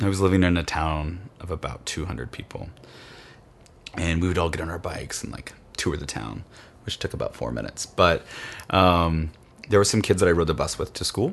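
A man speaks with a very deep, low pitch and an American accent. Vocal fry runs through his voice. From Kansas. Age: 30s. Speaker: interviewee. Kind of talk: personal testimony.

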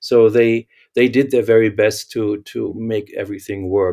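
A man with a German accent at a moderate pace, on a very clean recording with a silent background. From Germany. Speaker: architect and company founder. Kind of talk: interview.

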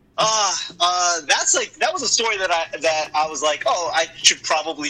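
In an American accent, a man talks at a moderate pace with a bright, sharp tone and ordinary pitch variation. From Boston. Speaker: comedian. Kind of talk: casual chat.

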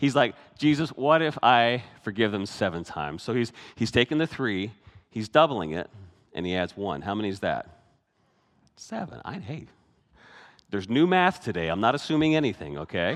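With vocal fry and very wide pitch swings, a man at a medium pitch speaks at a moderate pace with long, frequent pauses. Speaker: pastor. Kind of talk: sermon. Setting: church. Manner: animated.

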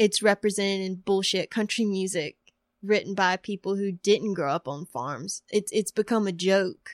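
An unremarkable speaking voice with an American accent, a moderate pace and ordinary pitch variation, on a very clean recording with a silent background and a dry, close sound with no echo. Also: woman, medium pitch for a woman. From US South, rural northeastern North Carolina. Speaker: creative writer. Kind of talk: interview.

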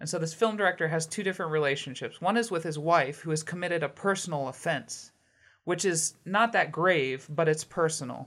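In a very clean recording with a silent background, a woman talks at a fairly quick pace in a plain, everyday voice, fairly low in pitch with ordinary pitch variation. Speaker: podcast host. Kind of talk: casual interview.

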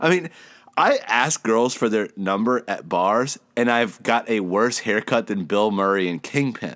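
A man with an American accent, medium pitch, a plain, everyday voice, lively intonation and a fairly slow pace, on a very clean recording with a silent background. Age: 30s. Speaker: podcast co-host. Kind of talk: casual chat.

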